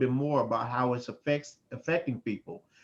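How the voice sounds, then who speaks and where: A man speaks at a very fast pace. His pitch is medium and his intonation fairly even. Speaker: mental health worker and panel participant. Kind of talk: online panel discussion.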